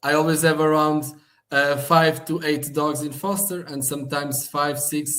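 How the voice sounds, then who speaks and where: Here a man speaks with a Portuguese accent. His pitch is fairly high. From Portugal, Algarve (Portimão). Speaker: animal shelter manager. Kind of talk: interview.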